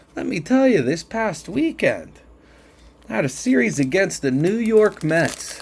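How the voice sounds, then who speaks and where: A man with a Pittsburgh accent, high-pitched with very wide pitch swings, at a fairly slow pace over noticeable background noise. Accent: Pittsburgh (Yinzer). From Pittsburgh, western Pennsylvania. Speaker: sports card collector, channel host. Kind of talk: casual card-opening video commentary. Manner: chatty, with hesitations.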